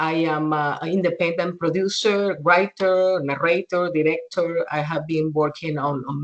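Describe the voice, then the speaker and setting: A woman with a Spanish accent, fairly low in pitch, with ordinary pitch variation and a moderate pace. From Venezuela. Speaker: documentary filmmaker. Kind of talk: interview.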